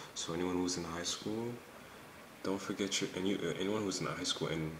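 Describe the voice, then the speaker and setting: Quiet and very deep, a man talks at a very fast pace with fairly even intonation, amid audible room echo and noticeable background noise. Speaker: pre-med college student vlogger. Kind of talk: casual vlog. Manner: quiet, low voice.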